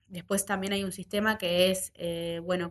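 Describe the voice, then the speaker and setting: Here a woman talks with a Uruguayan accent. Her intonation is monotone and flat. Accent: Rioplatense Spanish (Uruguayan). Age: 20s. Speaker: tech nonprofit co-director and startup founder. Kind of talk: interview conversation.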